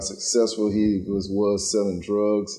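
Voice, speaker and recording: Dark and mellow in tone, a man's voice comes through in an American accent. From US South (Texas and Atlanta, Georgia). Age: 40s. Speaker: former prisoner, now imam. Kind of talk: personal testimony interview.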